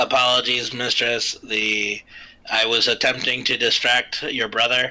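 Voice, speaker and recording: A put-on character voice from a man, medium in pitch, at a fairly slow pace. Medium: actual play. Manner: flat, mechanical.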